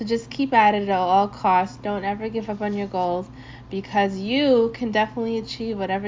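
An unremarkable speaking voice from a woman, medium in pitch, with ordinary pitch variation. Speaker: podcast host. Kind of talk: radio DJ patter: upbeat, slangy intros between reggae tracks. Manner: laid-back and friendly; warm, upbeat, casual.

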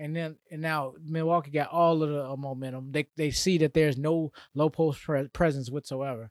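In a normal speaking voice, a man talks at a moderate pace with a fairly high pitch and fairly even intonation. The recording is very clean with a silent background and a dry, close sound with no echo. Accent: American. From Atlanta area, US South. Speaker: sports podcast co-host. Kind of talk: casual chat.

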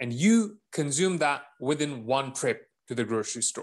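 At a fairly slow pace, a man with a fairly high pitch speaks in a normal speaking voice. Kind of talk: casual chat.

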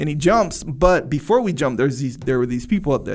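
Using vocal fry, a man talks at a fairly quick pace with a fairly high pitch and ordinary pitch variation. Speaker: podcast co-host. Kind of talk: casual chat.

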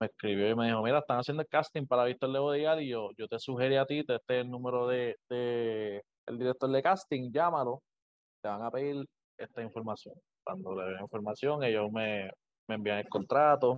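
This man has an ordinary speaking voice at medium pitch. He speaks at a moderate pace with ordinary pitch variation. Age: 20s. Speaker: professional wrestler. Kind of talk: interview. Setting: video call.

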